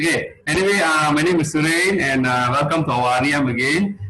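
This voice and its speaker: With noticeable noise behind him, a man speaks fairly quickly at a fairly high pitch. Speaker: meeting host. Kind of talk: online meeting presentation.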